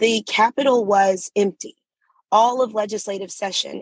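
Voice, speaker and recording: A woman with a plain, everyday voice and an American accent speaks at a fairly high pitch with ordinary pitch variation, the sound dry and close with no echo. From US South, Atlanta. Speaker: state legislator. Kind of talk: interview.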